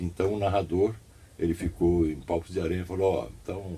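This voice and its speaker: Here a man talks at a moderate pace in a very deep, low voice. His tone is dark and mellow, and somewhat breathy. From São Paulo state, Brazil. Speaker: radio announcer and journalist. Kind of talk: interview.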